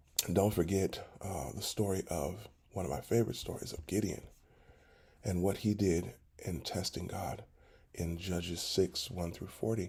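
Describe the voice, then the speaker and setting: A man with a very deep, low pitch and a dark, mellow, somewhat breathy tone speaks at a moderate pace with ordinary pitch variation and long, frequent pauses. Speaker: pastor. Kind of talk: devotional talk.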